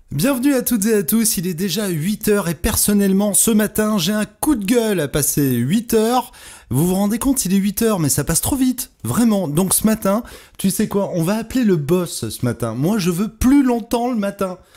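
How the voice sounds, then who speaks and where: A man speaks at a moderate pace in a high voice with lively intonation. Music plays in the background. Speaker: radio host. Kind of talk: morning radio show bloopers.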